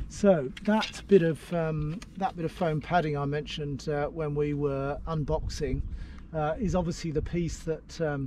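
Against noticeable background noise, a man talks at a moderate pace with fairly even intonation, and the sound is dry with no echo. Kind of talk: tutorial. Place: open country. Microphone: phone near.

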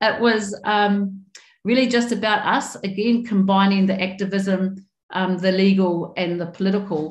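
A woman at a fairly slow pace with fairly even intonation, amid audible room echo. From New Zealand. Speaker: member of parliament; panelist. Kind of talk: panel presentation. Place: home room. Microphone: webcam.

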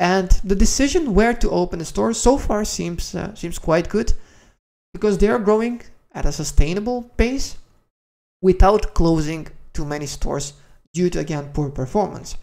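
This man has a high pitch, ordinary pitch variation and vocal fry. He keeps a moderate pace with a slightly mellow tone.

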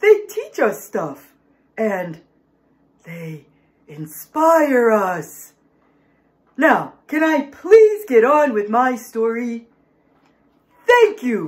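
A cartoonish character voice, fairly high in pitch, at a very slow pace. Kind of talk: comic overacting for children. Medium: puppet show. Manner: dramatic, indignant, panicky.

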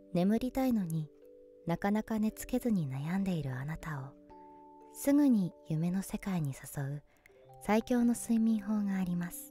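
Over music in the background, a woman speaks at a medium pitch and fairly slow pace, her pitch swinging very widely. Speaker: voice actor. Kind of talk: sleep induction narration. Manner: whispered, soothing.

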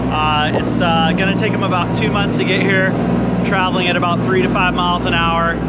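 Loud noise fills the background as a man speaks fairly quickly. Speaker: boat crew guide. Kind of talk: interview answer. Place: boat. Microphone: phone near.

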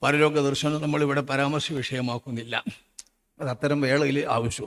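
A man's plain, everyday voice, fairly high in pitch. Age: 60s. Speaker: Islamic preacher. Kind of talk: sermon. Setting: stage with audience.

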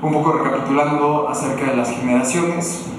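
Speaking at a moderate pace with ordinary pitch variation, a man with a fairly high pitch is heard through strong room echo and noticeable background noise. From Mexico, Morelia (Michoacán). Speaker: digital agency director, conference speaker. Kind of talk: conference talk. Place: hall.

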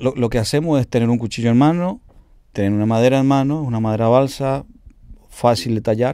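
A dark, mellow tone at a fairly quick pace, with ordinary pitch variation, a dry sound with no echo, and a quiet background. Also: man, medium pitch for a man. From Paraguay, Cordillera (Altos). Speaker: cumbia singer and bandleader. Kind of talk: interview. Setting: home studio. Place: studio.

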